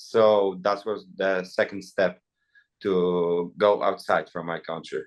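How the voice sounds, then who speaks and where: A man with a Polish accent at a very slow pace. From Poland. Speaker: MMA fighter and influencer boxer. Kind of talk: press interview.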